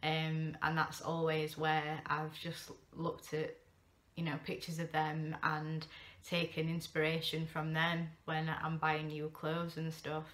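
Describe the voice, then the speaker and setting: A woman with a Yorkshire accent speaks in a very deep, low pitch, her bright, sharp tone delivered with monotone, flat intonation. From Sheffield, England. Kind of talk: casual talk to camera. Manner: rambling, hesitant.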